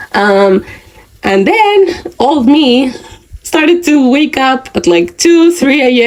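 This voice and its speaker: A woman speaking at a very slow pace with lively intonation, over noticeable background noise. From Spain. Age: 20s. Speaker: podcaster. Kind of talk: casual monologue.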